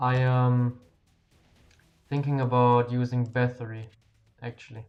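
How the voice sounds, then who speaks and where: With a strong German accent, a speaker talks at a fairly slow pace in a monotone, flat intonation while music plays in the background. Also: man, medium pitch for a man. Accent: thick German. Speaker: game streamer. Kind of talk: live stream chat. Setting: live stream. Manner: casual, halting at times.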